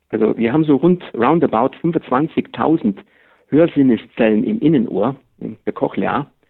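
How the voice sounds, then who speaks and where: A man's normal speaking voice at medium pitch, fairly slow pace and lively intonation. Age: 50s. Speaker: master hearing aid acoustician. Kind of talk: expert interview. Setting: phone call.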